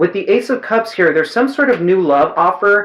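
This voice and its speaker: Over noticeable background noise, the speaker talks at a fairly quick pace. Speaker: tarot reader. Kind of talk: tarot reading monologue. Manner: fast; chatty.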